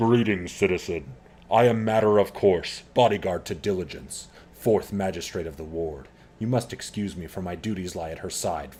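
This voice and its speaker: A booming put-on character voice moves at a moderate pace on a very clean recording with a silent background. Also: man, very deep, low pitch for a man. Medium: game stream. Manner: formal, curt.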